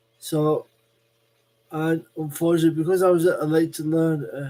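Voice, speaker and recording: With a Lancashire accent, a man speaks at a fairly slow pace with a fairly high pitch and a dark, mellow tone. His intonation is monotone and flat. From northern England. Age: 40s. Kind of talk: live stream monologue. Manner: halting.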